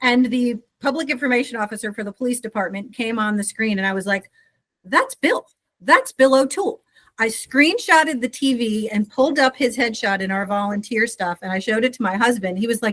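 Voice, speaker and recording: A woman with an American accent speaks at a fairly quick pace in an unremarkable speaking voice. Her pitch is fairly high with ordinary variation, and the sound is dry and close with no echo. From New Jersey. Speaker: nonprofit CEO. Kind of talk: interview.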